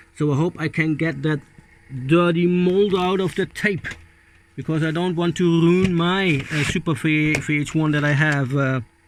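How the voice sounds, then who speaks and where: A man with a non-native accent speaks at a moderate pace in a fairly high pitch. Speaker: hobbyist video maker. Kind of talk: casual hands-on tutorial. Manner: halting, hesitant; animated exclamations.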